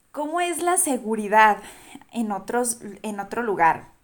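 A woman with a fairly high pitch talks using lively intonation. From Durango, Mexico. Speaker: podcast guest, traveler. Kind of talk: casual chat.

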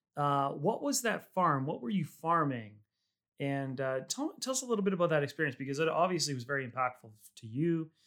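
A man talks in a plain, everyday voice at a fairly high pitch. His pace is fairly quick and his intonation lively. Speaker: podcast host and winery founder. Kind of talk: casual interview.

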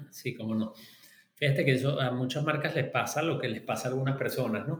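Speaking at a fairly quick pace, a man with a Venezuelan accent talks at a medium pitch. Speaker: market researcher and professor. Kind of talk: interview. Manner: halting.

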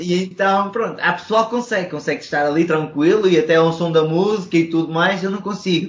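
This man's pitch is high, with fairly even intonation. He barely pauses at all. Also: fairly quick pace. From Portugal. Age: 20s. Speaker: podcast host and entrepreneur. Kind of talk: casual interview. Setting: video call.

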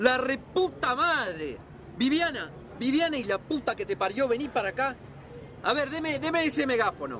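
A man's put-on character voice, extremely high in pitch, with big pitch swings, a fairly bright tone and a moderate pace

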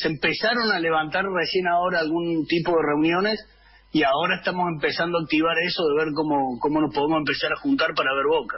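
A high-pitched man talks at a very fast pace, his loudness very even and his pitch variation ordinary. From Argentina, Alta Gracia, Córdoba. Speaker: football supporters' club leader. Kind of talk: casual radio interview. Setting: remote call via Zoom.

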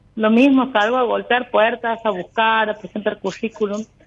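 At a moderate pace, a woman with a plain, everyday voice speaks at a fairly high pitch with fairly even intonation. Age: 30s. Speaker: caller. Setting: phone call.

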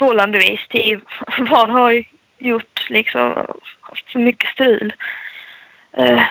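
A woman talks at a fairly slow pace. She leaves long, frequent pauses. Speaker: motocross rider. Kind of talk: interview.

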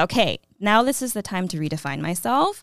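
The pace runs fairly quick. It is an unremarkable speaking voice. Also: woman, very clean recording, silent background. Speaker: history teacher. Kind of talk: casual interview testimony. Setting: studio.

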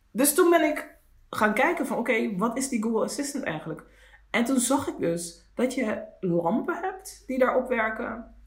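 A man's extremely high voice at a moderate pace, with very wide pitch swings, audible room echo and noticeable background noise. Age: 40s. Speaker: podcast co-host. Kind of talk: casual chat.

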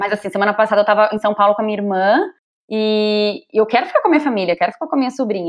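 Her pitch is fairly high. The woman's intonation is lively. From Brazil. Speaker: digital entrepreneur coaching women. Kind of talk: casual interview chat. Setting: visiting Brazil, on holiday.

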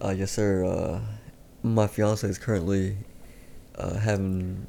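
Fairly low in pitch, a man with an American accent speaks in an unremarkable speaking voice with fairly even intonation. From Texas, Pasadena (Houston area). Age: 20s. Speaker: boxer. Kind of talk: casual chat.

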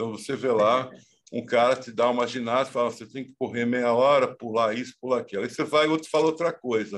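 A man talks at a fairly quick pace in a plain, everyday voice, with ordinary pitch variation over a quiet background. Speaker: professor and author. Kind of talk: interview.

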